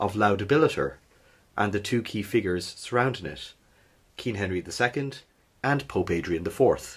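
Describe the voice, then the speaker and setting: The voice is somewhat breathy and moves at a moderate pace in a very clean recording with a silent background. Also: man. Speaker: history podcast host. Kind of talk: history podcast narration.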